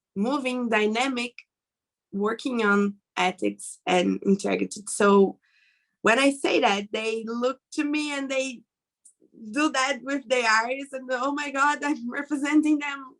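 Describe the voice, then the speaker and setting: Speaking at a fairly slow pace, a woman with a Brazilian Portuguese accent has a high pitch and ordinary pitch variation. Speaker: webinar panelist. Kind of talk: panel discussion. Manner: halting.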